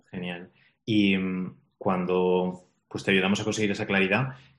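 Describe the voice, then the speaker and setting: With a Spanish accent, a man speaks at a fairly low pitch with fairly even intonation. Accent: Peninsular Spanish. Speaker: podcast host and business mentor. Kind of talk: interview.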